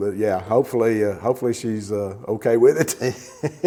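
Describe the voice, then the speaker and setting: A man talks at a moderate pace with fairly even intonation while noticeable background noise runs underneath. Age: 60s. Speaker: motorcycle enthusiast, podcast guest. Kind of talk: casual chat. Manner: halting.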